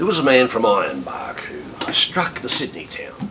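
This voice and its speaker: Noise is noticeable in the background. Over it, a man talks rather slowly. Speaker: poetry reciter. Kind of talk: poetry reading.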